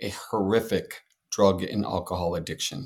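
A man at a very slow pace with an American accent, on a very clean recording with a silent background. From San Antonio, Texas. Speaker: social worker and therapist, veteran. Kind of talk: interview.

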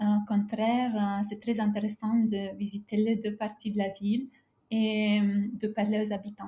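A woman with a fairly high pitch speaks at a fairly slow pace in a dark, mellow, somewhat breathy tone and a monotone, flat intonation. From Romania, near former Yugoslav border. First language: Romanian and Serbian (speaking French). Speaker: travel writer. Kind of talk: interview. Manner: halting.

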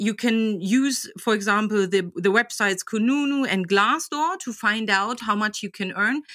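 With a German accent, a woman talks at a moderate pace in a fairly high pitch. Her tone is bright and sharp, with ordinary pitch variation. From Germany, Magdeburg. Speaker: job coach. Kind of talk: interview. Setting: podcast. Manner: animated.

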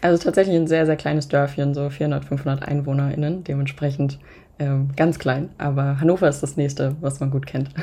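Somewhat breathy, very deep and low, a woman's dark, mellow voice in a monotone, flat delivery at a moderate pace. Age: 20s. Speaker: podcaster. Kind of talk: casual interview.

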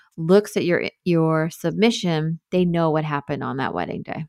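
A woman's fairly low voice with a New York accent, moderate in pace, in a very clean, dry, close recording with no echo and a silent background. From New York, Long Island (Hamptons). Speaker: wedding photographer and coach. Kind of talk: casual interview.

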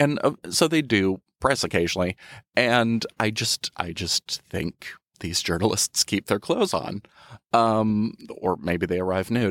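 Recorded very cleanly against a silent background with a dry, close sound and no echo, a man with an unremarkable speaking voice talks fairly slowly in a fairly low pitch with lively intonation. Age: 30s. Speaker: magazine editor and freelance writer. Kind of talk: casual chat. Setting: studio.

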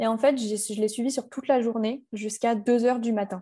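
In a quiet setting, a woman speaks at a moderate pace, her voice fairly high and somewhat breathy. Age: 20s. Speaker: wedding photographer. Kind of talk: casual chat.

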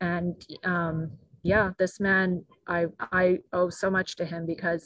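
Her voice sits at a medium pitch. She delivers everything in a flat monotone. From raised abroad in Japan, Brazil, Mexico and Guatemala. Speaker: former cult member. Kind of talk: testimony.

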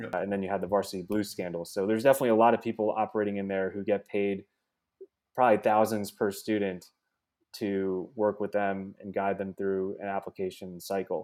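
A fairly low-pitched man in a New Jersey accent, fairly quick and monotone with flat intonation, on a very clean recording with a silent background. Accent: American, New Jersey. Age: 30s. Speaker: venture capitalist. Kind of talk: casual chat.

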